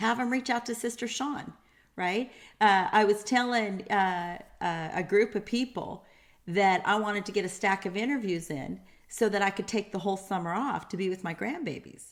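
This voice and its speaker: A woman with a normal speaking voice talks at medium pitch with ordinary pitch variation on a very clean recording with a silent background. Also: moderate pace. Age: 50s. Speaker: interview show host. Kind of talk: interview.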